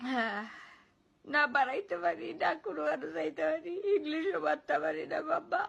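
Her voice is pitched high. She swings her pitch over a very broad range. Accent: Sylheti. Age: 20s. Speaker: vlogger. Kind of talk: emotional monologue. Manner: plaintive.

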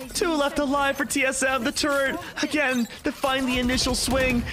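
A man's extremely high-pitched, raised and projected voice at a moderate pace, with noticeable background noise. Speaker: esports color commentator. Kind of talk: live esports match analysis. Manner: analytical, explanatory.

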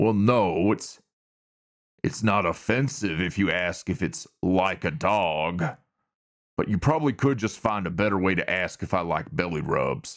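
In a put-on character voice with a Southern US accent, a man speaks at a fairly low pitch. He keeps a moderate pace. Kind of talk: ASMR roleplay audio. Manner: flirtatious, teasing.

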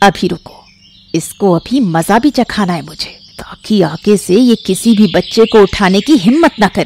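A female-sounding voice does a put-on character at medium pitch and a moderate pace. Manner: caring, protective.

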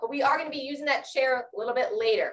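A woman with a high voice talks at a fairly quick pace. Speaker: fitness instructor. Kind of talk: exercise class instruction. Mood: encouraging, warm. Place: garden. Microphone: camera far.

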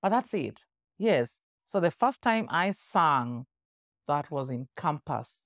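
A woman speaks very slowly in a very deep, low voice, her pitch swinging very widely, with long, frequent pauses, a dry sound with no echo and a quiet background. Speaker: interview guest, singer. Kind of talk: casual interview answer, conversational. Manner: animated, storytelling. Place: studio. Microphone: studio mic.

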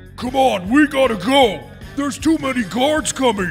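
Over clear background music, a man puts on a character voice at an extremely high pitch and a moderate pace.

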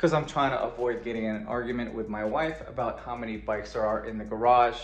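Over faint music in the background and audible room echo, a man speaks at a very fast pace. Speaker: vlogger. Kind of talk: casual vlog chat. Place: garage. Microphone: phone near.

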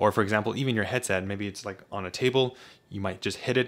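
A man speaks at a very fast pace. His pitch is fairly low and his intonation fairly even. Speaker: tech reviewer. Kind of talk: product review talk. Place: home room. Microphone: studio mic.

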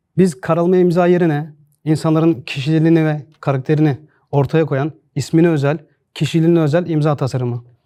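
This man talks at a fairly quick pace with a fairly high pitch and fairly even intonation. His tone is dark and mellow. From Turkey, Çorum. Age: 30s. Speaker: signature designer and entrepreneur. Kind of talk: pitch to investors.

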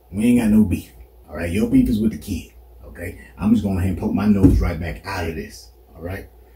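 A man's dark, mellow voice with vocal fry at a very fast pace, with audible room echo. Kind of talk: comedic acted monologue. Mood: nervous, placating, joking. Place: home room. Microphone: camera far.

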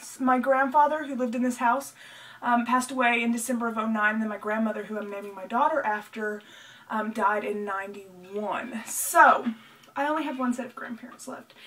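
A woman speaks at a fairly quick pace with a fairly high pitch and ordinary pitch variation. Her loudness swings widely over noticeable background noise. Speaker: vlogger. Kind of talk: casual chat. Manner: fast.

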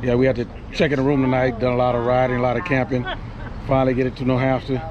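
The voice races at a very fast pace in a monotone, flat intonation. The sound is dry with no echo, with crowd noise in the background. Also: man. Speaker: motorcycle travel vlogger. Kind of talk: casual vlog chat. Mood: cheerful, laughing. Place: street. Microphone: phone near.

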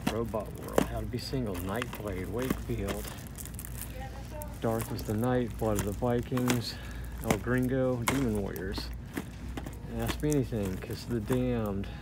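Over loud background noise, the speaker goes at a fairly slow pace with long, frequent pauses, in a dry sound with no echo. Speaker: shopper vlogger. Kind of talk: casual vlog chat. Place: shop. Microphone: phone near.

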